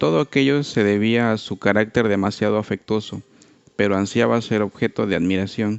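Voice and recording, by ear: A natural voice reads aloud. Its intonation stays fairly even throughout.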